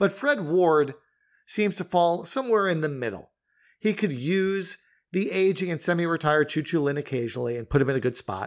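On a very clean recording with a silent background, a man speaks in an American accent. His pitch is high, his intonation lively, and his pace fairly quick. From US Northeast. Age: 50s. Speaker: wrestling podcast host. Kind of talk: casual chat.

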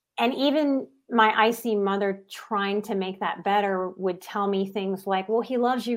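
A woman with an American accent speaks in a normal speaking voice at a medium pitch and moderate pace. Her intonation is fairly even, and the recording is very clean with a silent background. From US South, New Orleans, Louisiana. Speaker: psychotherapist and life coach. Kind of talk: interview conversation.

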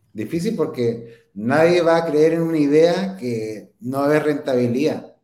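With a dark, mellow tone and a fairly high pitch, a man talks at a fairly slow pace with ordinary pitch variation. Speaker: entrepreneur and inventor. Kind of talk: interview.

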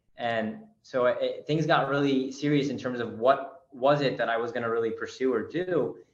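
Speaking in an American accent, the voice keeps a moderate pace and fairly even intonation. Audible room echo surrounds it. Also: man, medium pitch for a man. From Maryland, US. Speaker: real estate investor. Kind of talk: casual chat. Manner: halting.

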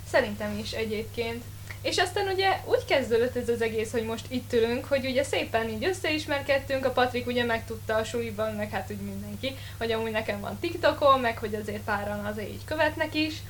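A woman speaks very fast. Audible room echo and noticeable background noise surround her voice. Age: young. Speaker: podcast co-host, drama student. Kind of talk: casual chat. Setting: studio.

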